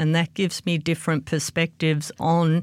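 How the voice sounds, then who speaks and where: A woman's fairly low voice, dry and close with no echo, on a very clean recording with a silent background. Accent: Australian. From Australia. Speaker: meteorology professor. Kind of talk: interview.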